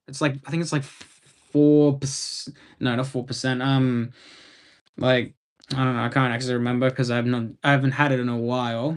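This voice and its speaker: A man speaks with a strong Australian accent. His pitch is fairly high and his pace moderate. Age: 20s. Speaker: live streamer. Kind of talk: casual chat. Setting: live stream. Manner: halting.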